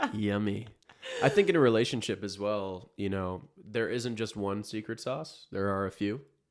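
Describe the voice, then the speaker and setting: Here is a man with a normal speaking voice and fairly low pitch. He keeps a moderate pace and fairly even intonation. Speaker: podcast co-host. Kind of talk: casual chat.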